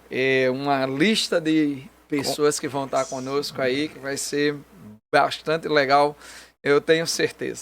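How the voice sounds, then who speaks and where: On a very clean recording with a silent background, a man with a northeastern Brazilian accent speaks very slowly at a fairly high pitch with fairly even intonation. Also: big swings in loudness. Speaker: pastor. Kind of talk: casual chat. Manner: halting with fillers.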